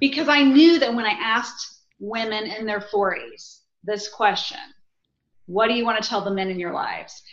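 At a moderate pace, a woman with a fairly high pitch and ordinary pitch variation speaks amid audible room echo. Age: 40s. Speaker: author and women's group leader. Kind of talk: casual chat.

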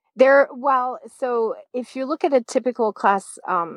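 This woman speaks with a French accent. Her voice sounds dry and close with no echo, over a quiet background. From France. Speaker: high school math teacher. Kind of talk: interview.

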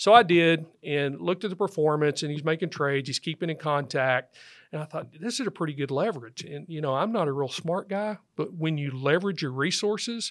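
A man with a Texan accent speaks at a fairly quick pace and fairly high pitch with ordinary pitch variation, on a very clean recording with a silent background. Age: 50s. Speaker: financial advisor, firm founder. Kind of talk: interview. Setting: studio.

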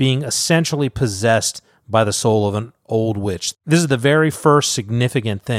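A natural reading voice is heard, with only quiet in the background.

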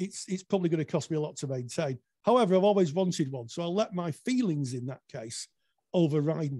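The dark, mellow voice moves at a fairly quick pace with lively intonation and big swings in loudness. The recording is very clean with a silent background and a dry, close sound with no echo. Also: man. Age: 60s. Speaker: therapist and business owner. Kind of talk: casual interview.

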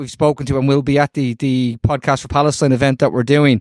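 With an Irish accent, a man speaks at a fairly high pitch in a flat monotone, the sound dry and close with no echo. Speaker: podcast co-host. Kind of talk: casual chat.

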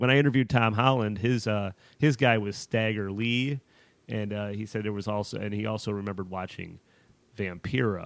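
Fairly even intonation and a fairly quick pace come through in a very clean recording with a silent background. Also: man. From Chicago, US Midwest. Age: 30s. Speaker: horror film writer. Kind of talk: casual chat.

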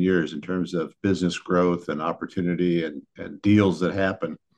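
The man has a very deep, low pitch and a Midwestern American accent. He speaks at a moderate pace. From Northeast Ohio, US. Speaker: business lawyer. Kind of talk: interview.

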